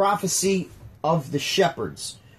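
The voice of a man comes through with only quiet in the background. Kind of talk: casual chat. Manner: sarcastic-sounding.

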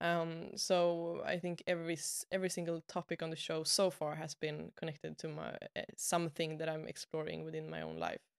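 With a Swedish accent, a woman talks at a fairly quick pace and hardly pauses. The recording is very clean and silent behind her, with a dry, close sound and no echo. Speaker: podcast host and web designer. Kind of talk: casual interview conversation.

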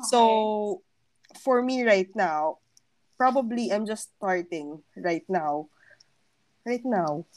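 A woman's fairly high voice, very slow and full of long, frequent pauses, with lively intonation. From Philippines, Pasig. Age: 20s. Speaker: podcast co-host.

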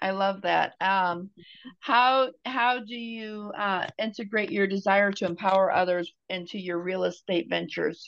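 Speaking fairly slowly, a woman uses a medium pitch and ordinary pitch variation. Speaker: podcast host and nurse. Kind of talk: interview. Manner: enthusiastic.

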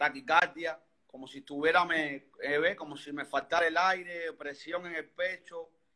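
A man talks with a Cuban accent at a fairly high pitch. His tone is bright and sharp, and his intonation is monotone and flat. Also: fairly slow pace, big swings in loudness. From Havana, Cuba. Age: 30s. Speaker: interviewee sharing health story. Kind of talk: testimony. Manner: halting.

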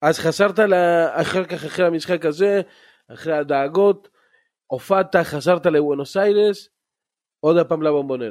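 This man has a high pitch and ordinary pitch variation, speaking at a moderate pace with long, frequent pauses. The recording is very clean, with a silent background. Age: 40s. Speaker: podcast host, football ultras fan. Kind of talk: casual chat.

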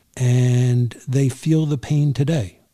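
The voice is somewhat breathy with a dark, mellow tone. It moves at a very slow pace with fairly even intonation. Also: man. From New York City, Queens. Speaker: podcast host. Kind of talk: interview.

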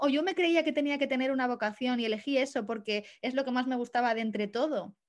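A woman talks at a very fast pace in a high pitch. The background is quiet. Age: 20s. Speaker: astrologer and photographer. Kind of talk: interview conversation.

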